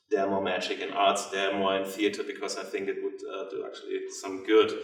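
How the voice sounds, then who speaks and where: There is audible room echo around a man. He talks at a fairly quick pace. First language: German. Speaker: theatre director. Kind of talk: lecture. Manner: halting, many fillers.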